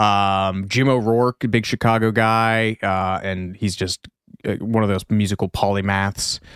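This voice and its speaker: With an American accent and a normal speaking voice, a man speaks at a fairly low pitch with fairly even intonation, the sound dry and close with no echo on a very clean recording with a silent background. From US Midwest. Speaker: podcast co-host. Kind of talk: casual chat.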